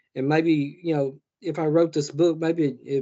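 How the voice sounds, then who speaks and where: This man's fairly high voice moves at a moderate pace. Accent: Southern US. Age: 60s. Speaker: horror author. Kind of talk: interview. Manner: halting.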